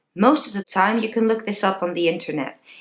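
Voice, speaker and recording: A woman with a Dutch accent speaks with vocal fry. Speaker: singing teacher. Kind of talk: tutorial.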